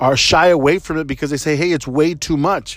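A man's fairly high-pitched, ordinary speaking voice with an American accent and fairly even intonation. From Texas, San Antonio. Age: 30s. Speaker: podcast host, engineer. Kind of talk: casual advice monologue. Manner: conversational with frequent fillers.

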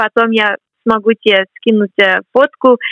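Here a woman speaks with an English accent. Her voice is high in pitch. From US, Boston. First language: English (speaking Russian). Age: 20s. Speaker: graduate student. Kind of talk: interview. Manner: halting.

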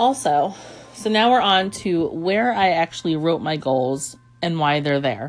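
Her voice is fairly low for a woman, moving at a fairly slow pace with very wide pitch swings. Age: 30s. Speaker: podcast host. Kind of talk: solo podcast monologue.

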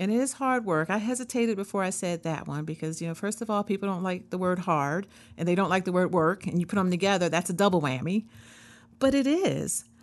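Against a quiet background, a woman with a medium pitch talks at a very fast pace with ordinary pitch variation. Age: 50s. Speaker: wellness podcast host. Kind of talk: solo podcast monologue. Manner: conversational with fillers.

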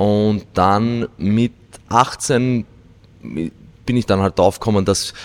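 The recording of this man is dry and close, with no echo. His pitch varies in an ordinary way. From Austria, Vienna. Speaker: weightlifting coach. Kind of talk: casual interview.

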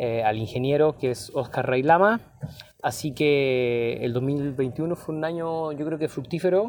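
The man's pitch is fairly high, with ordinary pitch variation. He talks at a very slow pace. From Chile, Valparaíso. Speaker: musician and teacher. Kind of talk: interview testimony. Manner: hesitant, frequent fillers.

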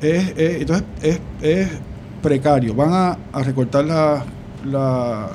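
A man with a Puerto Rican accent speaks in a fairly high pitch with ordinary pitch variation, amid noticeable background noise and audible room echo. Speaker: political commentator. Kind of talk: political discussion.

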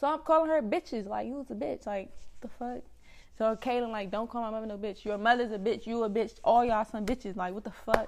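Ordinary pitch variation marks this very fast delivery in an American accent. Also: woman. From Washington DC area (DMV, Prince George's County). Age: 20s. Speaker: podcast co-host. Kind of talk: casual chat.

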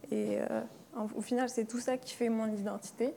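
A woman's dark, mellow voice. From Algeria, Kabyle. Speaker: illustrator. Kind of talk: panel discussion. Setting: live event with audience. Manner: hesitant, many fillers.

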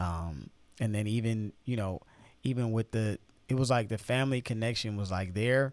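On a very clean recording with a silent background, a man with an American accent speaks at a moderate pace in an ordinary speaking voice, medium in pitch with ordinary variation. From Chicago. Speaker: podcast co-host. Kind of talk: casual chat. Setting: studio.

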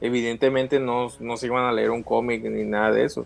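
Over music in the background, a man with a Mexican accent speaks at a moderate pace and a medium pitch. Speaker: film fan co-host. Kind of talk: casual chat. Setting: live stream.

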